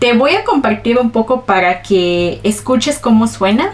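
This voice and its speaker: Noticeable background noise sits behind speech with lively intonation. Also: woman. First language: Ch'ol (Mayan language) (speaking Spanish). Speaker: vlogger. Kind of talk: personal storytelling vlog.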